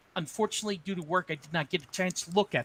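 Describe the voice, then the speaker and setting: With a raised, projected voice, a man speaks at a high pitch in a bright, sharp tone, the sound dry and close with no echo. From New Jersey. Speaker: nonprofit board president. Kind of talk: board meeting chair.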